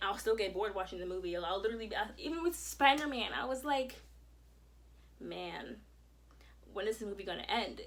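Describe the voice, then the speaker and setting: A woman talks at a very fast pace in an animated tone, her medium pitch carrying lively intonation. Vocal fry runs through her voice. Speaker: vlogger. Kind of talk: personal vlog.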